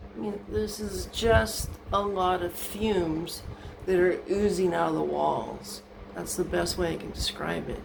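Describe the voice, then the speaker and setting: A woman speaks with audible room echo around her. Noticeable background noise is also present. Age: 60s. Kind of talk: casual video walkthrough and complaint. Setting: indoors in her bathroom. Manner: hesitant with many ums.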